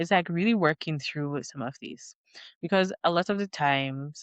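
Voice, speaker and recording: A woman speaks at a fairly slow pace in an animated tone, with ordinary pitch variation. Her sound is dry and close with no echo, over a quiet background. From Jamaica. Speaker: relocation consultant and vlogger. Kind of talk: vlog monologue. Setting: home, at night. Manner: loud, animated.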